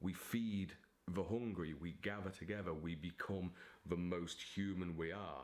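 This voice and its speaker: A man with a very deep, low pitch and ordinary pitch variation speaks at a very slow pace. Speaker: author. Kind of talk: casual talk to camera. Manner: theatrical, dramatic.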